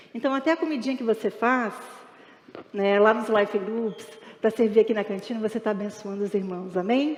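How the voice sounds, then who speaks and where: Her fairly high voice carrying ordinary pitch variation, a woman talks at a fairly quick pace. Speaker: pastor. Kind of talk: sermon. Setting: church. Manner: fast.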